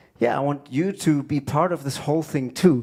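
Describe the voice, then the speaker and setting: A man with a German accent has a dark, mellow tone and a fairly high pitch. He speaks at a moderate pace with ordinary pitch variation. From Germany. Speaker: drummer and music educator. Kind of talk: music clinic lecture.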